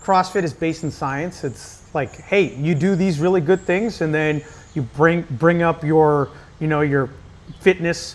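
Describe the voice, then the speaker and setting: Delivered at a fairly slow pace, this is a normal speaking voice with ordinary pitch variation. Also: man, fairly high pitch for a man. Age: 30s. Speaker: CrossFit coach. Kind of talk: casual chat.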